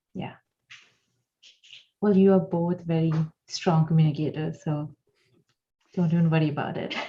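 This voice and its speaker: Speaking at a moderate pace with long, frequent pauses, a woman with a non-native accent has a fairly low pitch, a dark, mellow tone, a somewhat breathy quality and monotone, flat intonation. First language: not English. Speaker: animator and panel moderator. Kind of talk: live panel discussion.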